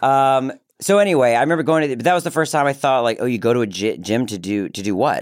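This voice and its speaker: In an American accent, a man speaks at a very fast pace and medium pitch with lively intonation. The recording is very clean, with a silent background. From Maryland, Baltimore. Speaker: actor and filmmaker. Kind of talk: casual chat. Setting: studio.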